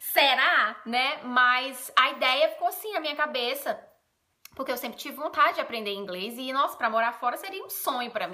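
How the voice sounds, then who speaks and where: Raising and projecting her high voice, a woman speaks with lively intonation. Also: moderate pace, big swings in loudness. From Brazil, Ceará (Northeast). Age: 30s. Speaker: vlogger. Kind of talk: casual vlog talk. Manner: casual, chatty.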